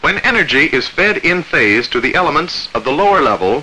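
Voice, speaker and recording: Speaking at a high pitch, a man's voice swings very widely in pitch. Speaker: film narrator. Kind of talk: 1947 military training film narration, scripted. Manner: formal, measured, authoritative; clipped, even, crisply enunciated. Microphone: old recording.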